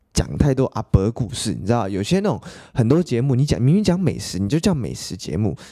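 A man's dark, mellow tone carries vocal fry and very wide pitch swings. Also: medium pitch for a man, fairly quick pace. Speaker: podcast host. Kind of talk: casual solo podcast monologue.

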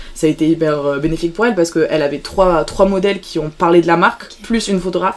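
Noticeable background noise sits under a woman's voice. She talks at a very fast pace with a fairly low pitch. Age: young. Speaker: student photographer. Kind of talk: interview. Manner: halting.

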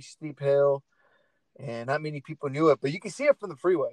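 Talking at a fairly quick pace, a man with an American accent has a plain, everyday voice. The sound is dry and close, with no echo. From Portland, Oregon. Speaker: podcast host. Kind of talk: casual chat.

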